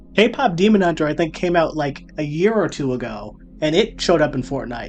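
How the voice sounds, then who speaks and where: Music plays in the background as a man talks at a moderate pace. His pitch is fairly high. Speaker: gaming YouTuber. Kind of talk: unscripted solo commentary. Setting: alone in his room. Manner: stutters a lot; rambling, casual.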